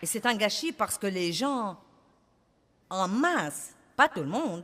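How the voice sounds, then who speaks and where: This woman's fairly high voice swings very widely in pitch. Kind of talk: sermon / preaching to an audience.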